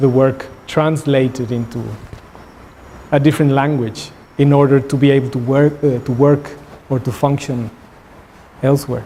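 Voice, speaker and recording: With noticeable background noise behind him, a man with a Spanish accent speaks in a fairly high pitch. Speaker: visiting artist. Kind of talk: artist talk Q&A. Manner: halting, with repeated words.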